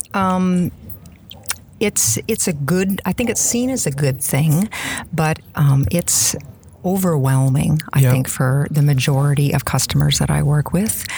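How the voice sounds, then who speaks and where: A woman with a Canadian prairie accent speaks at a fairly slow pace with a very deep, low pitch. Her intonation is lively and her loudness very even, with noticeable background noise. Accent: Canadian prairie, noticeable 'out'. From Saskatchewan, Canada. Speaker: Microsoft MVP, SharePoint consultant. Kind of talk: casual interview.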